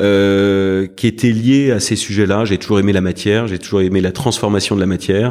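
A man talks at a moderate pace with hardly any pauses. His pitch is fairly low and his intonation fairly even. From Paris, France. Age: 40s. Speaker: private equity fund president. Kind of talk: interview. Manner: halting, many fillers and repetitions.

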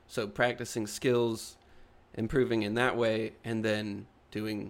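In a very clean recording with a silent background, a man talks with fairly even intonation in a normal speaking voice. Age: 30s. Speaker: podcast co-host and artist. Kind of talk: casual chat.

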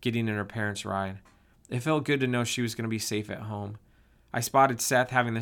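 Here a person reads aloud in a natural voice.

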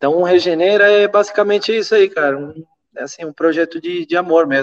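The speech moves at a very fast pace with ordinary pitch variation. Its loudness swings widely. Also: man. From Venezuela. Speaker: permaculturist and eco-builder. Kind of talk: casual chat.

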